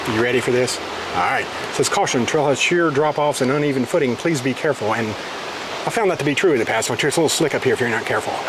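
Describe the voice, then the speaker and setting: Delivered at a very fast pace, the speech has a dry sound with no echo and noticeable background noise. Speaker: travel vlogger filming. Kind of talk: casual vlog chat. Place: forest. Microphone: phone near.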